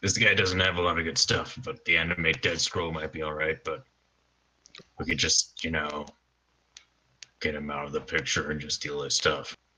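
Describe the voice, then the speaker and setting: Putting on a character voice, a man speaks raspy and at a very deep, low pitch, keeping a moderate pace with long, frequent pauses. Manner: whispering.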